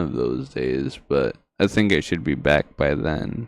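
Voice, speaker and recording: The man's delivery moves at a fairly slow pace. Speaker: podcast host. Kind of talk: casual chat. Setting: livestream.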